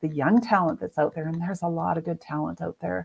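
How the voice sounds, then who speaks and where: A woman's fairly low pitch with ordinary pitch variation, an ordinary speaking voice. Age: 60s. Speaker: graphic designer and author, breast cancer survivor. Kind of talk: interview conversation.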